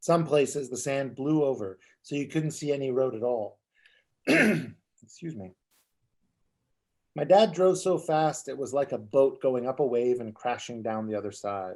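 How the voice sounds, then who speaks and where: A man in a plain, everyday voice speaks at medium pitch and a fairly slow pace, with lively intonation. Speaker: author. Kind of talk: author reading aloud from his own memoir at a bookstore event.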